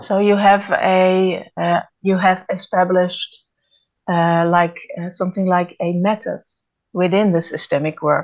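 A woman at a medium pitch with a Dutch accent, fairly slow and monotone, her intonation flat. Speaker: podcast co-host. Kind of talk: interview. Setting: video call.

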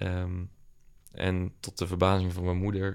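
A man's very deep, low voice on a very clean recording with a silent background. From Netherlands, South Holland (Dordrecht area). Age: 20s. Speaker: entrepreneur. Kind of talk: casual chat. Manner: halting, many filler words.

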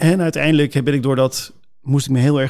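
In an ordinary speaking voice, a man talks at a fairly quick pace and medium pitch with fairly even intonation, recorded very cleanly over a silent background. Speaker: pastor. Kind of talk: casual chat.

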